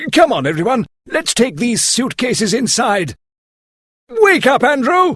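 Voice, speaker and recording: A put-on character voice with a fairly high pitch swings very widely up and down. It keeps a moderate pace and is broken by long, frequent pauses. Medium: read story. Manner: serious.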